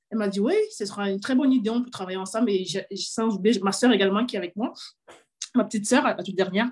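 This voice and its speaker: Speaking at a very fast pace, a woman sounds somewhat breathy. Her pitch is medium, with ordinary pitch variation. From Cameroon. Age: 30s. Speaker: fashion entrepreneur. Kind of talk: interview. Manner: halting.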